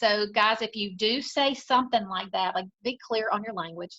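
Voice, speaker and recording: A woman speaks with a Southern US accent. Her tone is bright and sharp. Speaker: salon owner. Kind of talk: interview conversation. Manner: animated.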